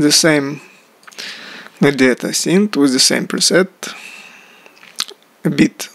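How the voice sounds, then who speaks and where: A man with a non-native accent and a fairly high pitch speaks at a very slow pace with ordinary pitch variation. The sound is dry and close with no echo, though noticeable background noise is present. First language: not English. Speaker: music producer. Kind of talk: tutorial. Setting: video blog. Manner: halting.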